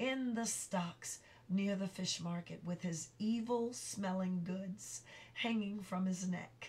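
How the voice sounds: Pitch varies in an ordinary way throughout this natural reading voice.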